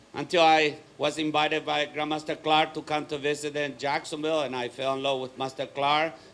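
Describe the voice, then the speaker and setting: This man talks at a fairly quick pace with hardly any pauses. His fairly high voice stays monotone and flat. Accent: Paraguayan. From Paraguay. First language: Spanish. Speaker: martial arts school owner and speaker. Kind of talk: motivational talk.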